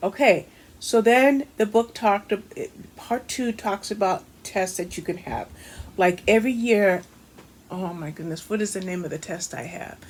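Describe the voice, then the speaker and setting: A woman's voice at medium pitch, with ordinary pitch variation and a moderate pace. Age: 60s. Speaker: book reviewer. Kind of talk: casual video book review. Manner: casual, halting with fillers.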